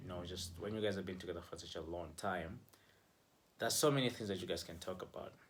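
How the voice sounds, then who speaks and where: Somewhat breathy and very deep and low in pitch, a man talks at a fairly quick pace with fairly even intonation, with audible room echo. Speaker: relationship vlogger. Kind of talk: casual advice vlog. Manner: conversational, filler-heavy.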